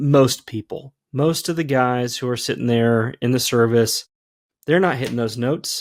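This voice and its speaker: At a moderate pace and medium pitch, a man speaks in an ordinary speaking voice with ordinary pitch variation, recorded dry and close with no echo on a very clean recording with a silent background. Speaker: podcast host, former worship leader. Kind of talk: casual chat.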